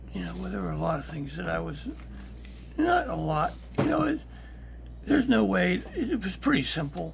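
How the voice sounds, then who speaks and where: The speaker is whispering at a moderate pace, with long, frequent pauses. Audible room echo is present. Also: man. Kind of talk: personal testimony. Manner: halting.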